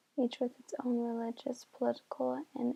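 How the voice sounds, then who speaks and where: Soft-spoken and high-pitched, a woman talks at a moderate pace in a monotone, flat intonation, recorded dry and close with no echo. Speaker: ASMR creator. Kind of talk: reading an article aloud, ASMR style. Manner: soft-spoken, relaxing.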